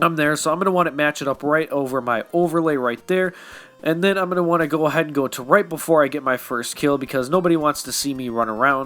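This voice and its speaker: A man's fairly high-pitched voice at a very fast pace, with music in the background. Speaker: app tutorial youtuber. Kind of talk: tutorial. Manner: casual, conversational.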